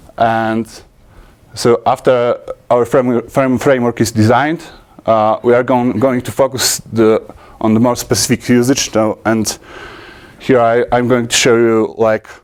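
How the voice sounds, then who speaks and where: Speaking in a Polish accent, a man with a medium-pitched voice goes at a fairly slow pace with monotone, flat intonation and long, frequent pauses. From Poland. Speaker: software conference speaker. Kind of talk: technical talk. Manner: halting, many fillers and restarts.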